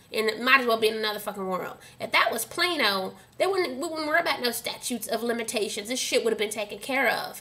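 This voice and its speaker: A woman with an American accent sounds animated at a fairly high pitch. Noticeable background noise sits behind her. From Dallas, Texas (Oak Cliff). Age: 30s. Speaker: vlogger. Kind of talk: angry rant to camera.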